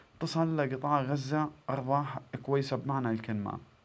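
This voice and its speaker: This voice, with a Gazan accent, shows ordinary pitch variation. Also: man. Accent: Gazan Palestinian Arabic. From Palestine, northern Gaza Strip. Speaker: YouTuber; tech tips vlogger. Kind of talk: tutorial. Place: home room. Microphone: phone near.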